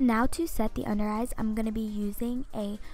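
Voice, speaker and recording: A woman speaks at a moderate pace with fairly even intonation. The sound is dry with no echo, and light background noise is present. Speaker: beauty vlogger. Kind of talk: makeup tutorial narration.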